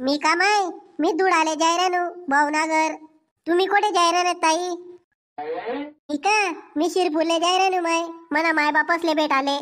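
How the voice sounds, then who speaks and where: In a cartoonish character voice, a woman speaks at an extremely high pitch and a moderate pace with fairly even intonation. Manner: gossipy, showy.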